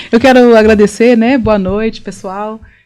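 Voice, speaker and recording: The speaker uses a plain, everyday voice with fairly even intonation at a moderate pace. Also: woman. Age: 40s. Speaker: therapist. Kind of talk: interview.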